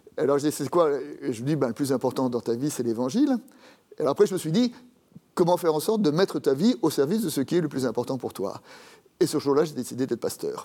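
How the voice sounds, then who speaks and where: This man talks at a very fast clip, his fairly high voice carrying a dark, mellow tone and lively intonation. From France, Paris. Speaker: Protestant pastor and theologian. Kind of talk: interview about faith and his Bible commentary. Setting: TV studio.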